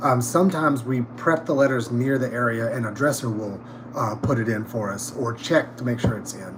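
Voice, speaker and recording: A man with a Southern US accent talks at a fairly quick pace, with medium pitch and ordinary pitch variation. Audible room echo and noticeable background noise surround him. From North Carolina, US South. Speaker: theatre props department head. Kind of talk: casual interview chat. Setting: livestream backstage. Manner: halting, many fillers.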